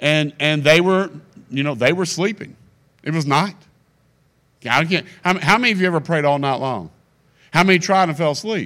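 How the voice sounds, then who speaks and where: A man's fairly high, bright, sharp voice at a fairly quick pace with ordinary pitch variation and long, frequent pauses, on a very clean recording with a silent background. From Kentucky. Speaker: guest preacher. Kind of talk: sermon. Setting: church with congregation. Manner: animated.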